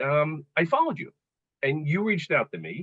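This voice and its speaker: An unremarkable speaking voice from a man, moderately paced, with lively intonation. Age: 50s. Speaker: fitness client, father. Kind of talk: casual podcast interview.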